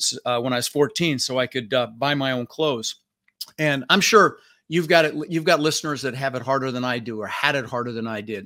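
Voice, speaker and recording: On a very clean recording with a silent background, a man with a bright, sharp tone and medium pitch talks at a fairly quick pace with ordinary pitch variation. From Netherlands, raised in Denver, Colorado. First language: Dutch. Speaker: real estate investor and podcast host. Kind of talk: interview. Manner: animated.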